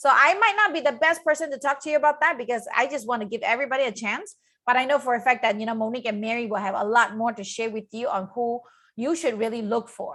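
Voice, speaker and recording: A high-pitched woman's voice, bright and sharp, at a very fast pace with ordinary pitch variation, on a very clean recording with a silent background. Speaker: business coach and channel host. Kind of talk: live stream talk. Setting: live video stream.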